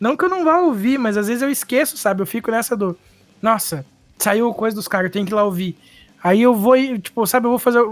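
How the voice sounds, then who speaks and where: The speech rushes along very fast, with noticeable background noise behind it. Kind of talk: casual chat. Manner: informal, chatty.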